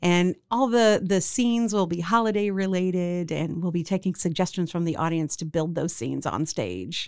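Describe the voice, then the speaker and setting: A woman with an American accent speaks in an unremarkable speaking voice, fairly low in pitch, at a moderate pace with hardly any pauses and ordinary pitch variation, on a very clean recording with a silent background. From Central Texas. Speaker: theater owner and director. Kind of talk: casual interview.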